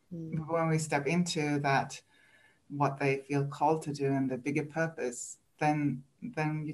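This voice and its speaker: At a moderate pace, a woman speaks in a very deep, low voice with fairly even intonation. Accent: Swedish. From Sweden. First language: Swedish. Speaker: coach for highly sensitive people. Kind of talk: casual interview chat.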